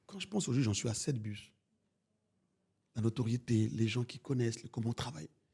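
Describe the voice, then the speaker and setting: A man's somewhat breathy, dark and mellow voice, fairly quick in pace yet with long, frequent pauses and lively intonation. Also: medium pitch for a man. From France. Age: 40s. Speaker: bus company owner. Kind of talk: interview. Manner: animated.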